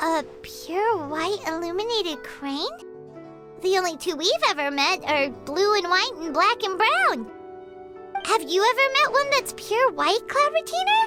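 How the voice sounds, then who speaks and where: Over clear background music, an extremely high put-on character voice moves at a moderate pace. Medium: game stream. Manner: bubbly.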